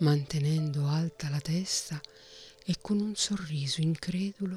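With noticeable noise in the background, the words come out very slowly. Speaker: audiobook narrator. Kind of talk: audiobook reading of a fantasy novel, narrated with character dialogue. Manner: formal, measured literary narration.

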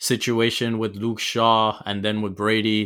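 Speaking at a very slow pace, a man with a fairly low pitch and a bright, sharp tone is heard on a very clean recording with a silent background. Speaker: football podcast host. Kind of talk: casual sports discussion.

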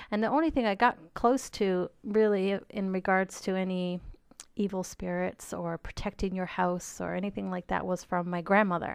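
There's fairly even intonation as the woman talks at a moderate pace. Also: medium pitch for a woman. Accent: Newfoundland. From Newfoundland, Canada. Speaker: podcast co-host, medium. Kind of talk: casual chat.

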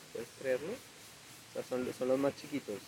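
A man's voice over noticeable background noise. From Colombia, Ibagué (Tolima). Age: 20s. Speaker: music producer. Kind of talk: casual chat.

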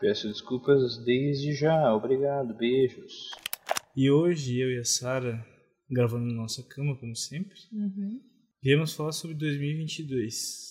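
Speaking at a very slow pace, a man with a fairly high pitch has a dark, mellow tone that is somewhat breathy, with ordinary pitch variation. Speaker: podcast co-host. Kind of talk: casual chat. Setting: home recording in bed.

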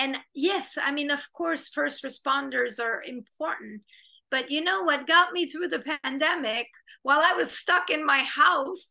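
In a Quebec accent, a woman projects a raised, high-pitched voice with a bright, sharp tone, lively intonation and a fairly slow pace. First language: French. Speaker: film director and screenwriter. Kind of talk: interview. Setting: video call.

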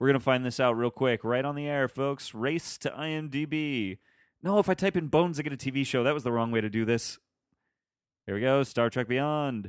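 Recorded dry and close with no echo, a man in an ordinary speaking voice talks at a moderate pace with a medium pitch and ordinary pitch variation. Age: 20s. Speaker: film podcast co-host. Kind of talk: casual chat.

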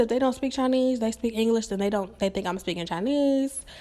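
A woman with a fairly high pitch and an unremarkable speaking voice is heard on a very clean recording with a silent background. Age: 20s. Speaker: podcast host. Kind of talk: solo monologue.

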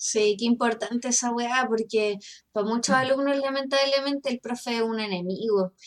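In a Chilean accent, a woman with a high voice speaks at a moderate pace and with fairly even intonation. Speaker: teacher. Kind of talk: casual chat.

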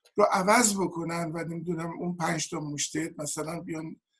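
Pitched high, a man's voice keeps a moderate pace. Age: 70s. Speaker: political activist and sociologist. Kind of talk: panel discussion.

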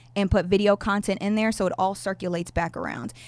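This is a woman at a medium pitch, talking at a moderate pace with ordinary pitch variation. The recording is very clean with a silent background, and it is an unremarkable speaking voice. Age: 30s. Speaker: YouTube content creator. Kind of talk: casual interview.

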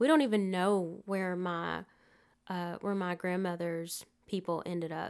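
A woman's medium-pitched voice in a Southern US accent, fairly slow and fairly even in intonation, on a very clean recording with a silent background. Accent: US South. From Alabama, Prattville. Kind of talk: interview.

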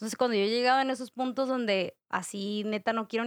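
At a fairly quick pace, a woman speaks in a fairly high pitch with monotone, flat intonation, in a dry, close sound with no echo on a very clean recording with a silent background. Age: 20s. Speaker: podcast guest. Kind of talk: casual chat.

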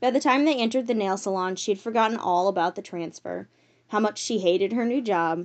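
The speaker does plain reading aloud.

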